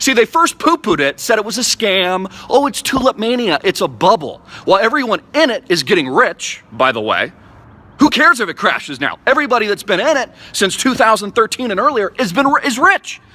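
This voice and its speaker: With a raised, projected voice, a man talks at a fairly quick pace in a high pitch, his animated, bright, sharp tone swinging very widely in pitch, recorded dry and close with no echo. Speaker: crypto enthusiast vlogger. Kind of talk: impassioned rant to camera. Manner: fast.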